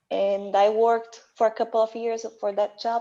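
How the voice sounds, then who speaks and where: Against a quiet background, a woman with a Portuguese accent speaks in a fairly high pitch with a dark, mellow tone. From Brazil. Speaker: IT analyst. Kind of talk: panel discussion.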